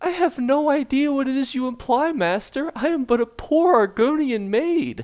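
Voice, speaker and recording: The speaker uses a put-on character voice and talks at a moderate pace. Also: man, extremely high pitch for a man. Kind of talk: servile, deferential.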